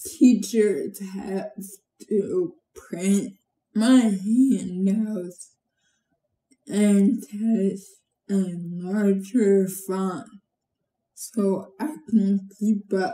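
The speech is very slow and somewhat breathy, with a dark, mellow tone and long, frequent pauses. Pitch varies in an ordinary way, and room echo is audible. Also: woman. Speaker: patient with ataxia. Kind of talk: testimony. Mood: earnest, sombre. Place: home room. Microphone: phone near.

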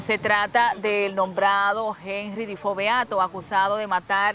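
The woman's medium-pitched voice stays monotone and flat while noticeable background noise runs beneath it. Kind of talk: news reading. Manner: formal, steady newsreader delivery.

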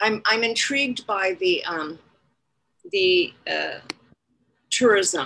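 A woman talks at a very slow pace with a fairly high pitch and lively intonation. Light background noise is present. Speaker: council member. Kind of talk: meeting discussion question. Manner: halting. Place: home room. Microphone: video call.

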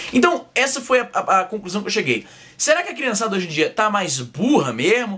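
Raising and projecting his voice, a man talks at a fairly quick pace and a high pitch with very wide pitch swings. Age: 20s. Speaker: vlogger. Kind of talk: casual vlog monologue. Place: home room. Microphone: webcam.

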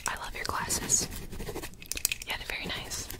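At a moderate pace, a woman is talking. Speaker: ASMR creator. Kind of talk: ASMR roleplay, personal attention. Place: home room. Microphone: studio mic.

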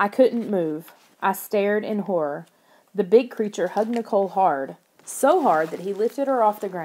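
Lively intonation from an unforced reading voice

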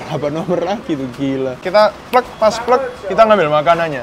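A man's voice amid noticeable background noise. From Indonesia. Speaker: YouTuber. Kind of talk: casual vlog. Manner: animated. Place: cafe. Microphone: phone near.

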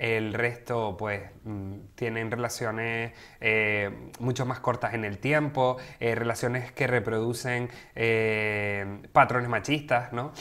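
A man's bright, sharp voice at a very slow pace, with fairly even intonation. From Canary Islands (Gran Canaria); Canary Islands. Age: 30s. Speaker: sexologist and social worker; guest. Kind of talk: interview conversation. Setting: studio. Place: studio. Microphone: studio mic.

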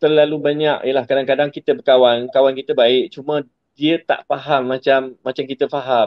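A man speaks at a moderate pace with fairly even intonation, the sound dry with no echo and the background quiet. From Negeri Sembilan, Malaysia. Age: 40s. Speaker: gadget business owner; guest. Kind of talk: online interview. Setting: in his office. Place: office. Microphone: video call.

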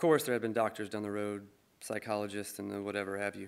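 A man speaks very fast with an American accent. His intonation stays fairly even. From Michigan. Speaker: musician and poet. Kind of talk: reading aloud. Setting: stage with audience. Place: stage. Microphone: podium.

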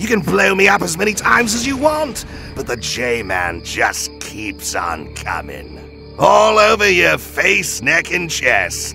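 A put-on character voice goes at a fairly slow pace while music plays clearly in the background. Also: man. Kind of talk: comedic parody dub. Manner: gleeful, taunting.

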